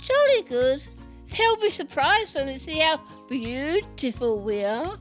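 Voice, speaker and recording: Using a put-on character voice, a woman speaks in a high pitch at a moderate pace over clear music in the background. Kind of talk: audio drama.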